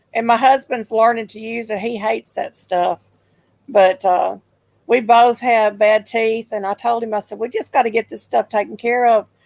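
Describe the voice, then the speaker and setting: In a Southern US accent, a woman speaks with a fairly high pitch, recorded with a dry, close sound and no echo. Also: big swings in loudness. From Memphis, Tennessee. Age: 60s. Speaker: livestream host. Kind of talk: casual chat. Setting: live stream.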